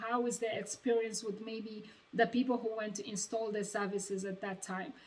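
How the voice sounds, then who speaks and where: A woman with a strong African accent speaks at a fairly high pitch with ordinary pitch variation. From Uganda. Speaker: vlogger, former door-to-door salesperson. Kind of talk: casual advice vlog. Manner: hesitant, many fillers.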